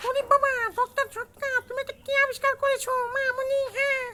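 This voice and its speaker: A man speaks in a cartoonish character voice at an extremely high pitch. His intonation is flat and monotone, and his pace is moderate. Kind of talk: cartoon voice impression. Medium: voice reel. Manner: exaggerated, shouting.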